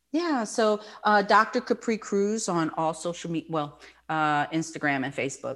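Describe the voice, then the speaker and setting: With very wide pitch swings around a medium pitch, a woman in an American accent speaks at a moderate pace on a very clean recording with a silent background. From New York. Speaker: therapist and author. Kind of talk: interview.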